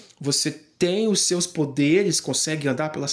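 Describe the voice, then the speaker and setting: Against a quiet background, a man with a high-pitched voice speaks at a fairly slow pace, his tone animated and his intonation lively. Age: 20s. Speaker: podcast host. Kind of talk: solo monologue, casual film commentary. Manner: halting.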